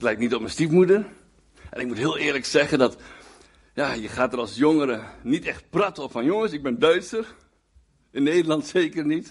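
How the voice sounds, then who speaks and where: A man with fairly high pitch, ordinary pitch variation and a moderate pace. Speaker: guest preacher. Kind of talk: sermon. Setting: church with congregation. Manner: halting, with many repeated words and fillers.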